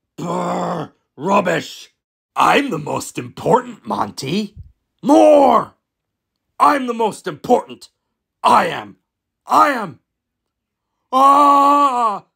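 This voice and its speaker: A put-on character voice speaks at a fairly high pitch and a very slow pace. Long, frequent pauses break up the speech. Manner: brash, bossy.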